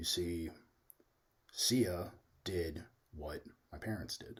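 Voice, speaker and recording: Somewhat breathy, this man's voice sits at a very deep, low pitch. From US Midwest. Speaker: youtuber. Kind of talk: casual monologue. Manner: slow, steady.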